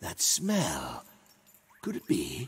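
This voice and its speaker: A man speaks at a high pitch. He uses a put-on character voice. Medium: video game. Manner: royal "one's" speech, haughty.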